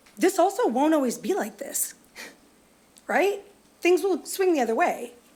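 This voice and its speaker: Noticeable background noise sits under speech with very wide swings in pitch. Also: woman, extremely high pitch for a woman, moderate pace. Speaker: public commenter. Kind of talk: public comment at government meeting. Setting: county board meeting.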